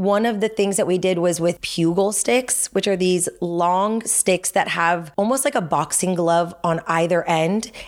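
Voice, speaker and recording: Here a woman talks at a moderate pace and medium pitch. Her intonation stays fairly even. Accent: Californian. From US West Coast (Los Angeles, San Fernando Valley). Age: 30s. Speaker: pickleball coach and army veteran. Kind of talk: casual chat.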